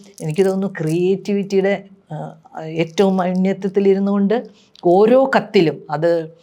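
A woman at a medium pitch keeps her intonation fairly even despite noticeable background noise. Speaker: writer. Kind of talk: personal reminiscence.

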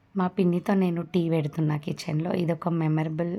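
The speaker is a woman with a fairly low pitch. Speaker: vlogger. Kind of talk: vlog narration.

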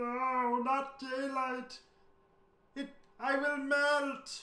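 A high, put-on character voice with monotone, flat intonation. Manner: dramatic, panicked.

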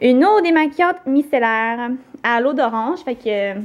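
A woman with a high voice speaks with a Quebec accent. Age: young. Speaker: beauty vlogger. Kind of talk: casual vlog. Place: kitchen. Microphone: phone near.

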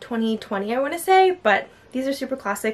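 A woman's very fast pace with lively intonation. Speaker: lifestyle vlogger. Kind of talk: casual vlog chat. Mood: cheerful, enthusiastic. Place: home room.

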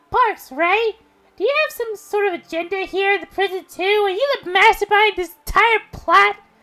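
An extremely high, squeaky put-on character voice at a moderate pace. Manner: eager, cheerful.

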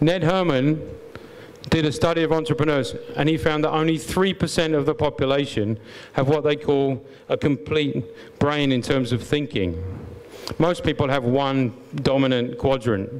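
A man with an English accent, very even loudness and long, frequent pauses. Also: ordinary pitch variation, moderate pace. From England. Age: 50s. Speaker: business owner. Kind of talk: conference talk. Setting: stage with audience. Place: hall. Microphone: handheld.

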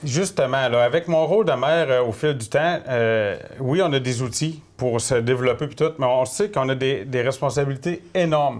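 With ordinary pitch variation, a man's speech unfolds at a moderate pace. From Quebec, Gaspésie (Mont-Louis); Quebec. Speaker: political candidate, former mayor, forestry technician; candidate, former mayor. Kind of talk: interview. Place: studio.

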